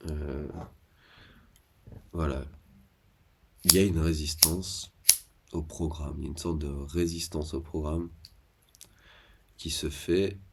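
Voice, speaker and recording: A soft-spoken man with a very deep, low pitch, somewhat breathy and monotone with flat intonation, at a fairly slow pace with long, frequent pauses and big swings in loudness. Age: 30s. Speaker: vlogger. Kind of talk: casual monologue. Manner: halting.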